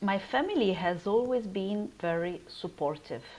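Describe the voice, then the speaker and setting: Speaking at a very slow pace with an Italian accent, a woman uses ordinary pitch variation. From Italy. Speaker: research scientist. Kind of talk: interview.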